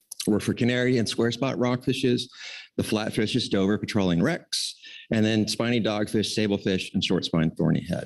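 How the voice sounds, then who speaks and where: Against a quiet background, a man speaks in a fairly low pitch with ordinary pitch variation and very even loudness. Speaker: council staff presenter. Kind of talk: formal presentation at public meeting. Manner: fast.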